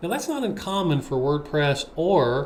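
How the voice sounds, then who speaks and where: A man speaks with lively intonation and a fairly high pitch. Audible echo fills the room. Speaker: web developer. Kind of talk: screen-share tutorial.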